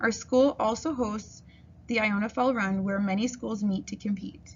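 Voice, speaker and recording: A woman speaks at a moderate pace in a fairly high, somewhat breathy voice. Her intonation stays fairly even. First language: French. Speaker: kindergarten French teacher. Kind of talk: school open house presentation. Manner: formal.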